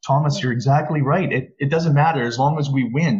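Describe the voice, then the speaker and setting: A man with a Canadian Prairie accent, fairly high in pitch and somewhat breathy, at a very fast pace. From rural Alberta. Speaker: former provincial politician. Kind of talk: panel discussion. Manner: animated.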